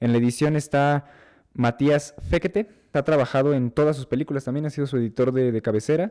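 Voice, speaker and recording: A man speaks at a fairly quick pace with a fairly high pitch, a dark, mellow tone and ordinary pitch variation, recorded with a dry, close sound and no echo. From Mexico. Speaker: film podcast co-host. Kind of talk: casual film discussion. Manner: halting, many repetitions.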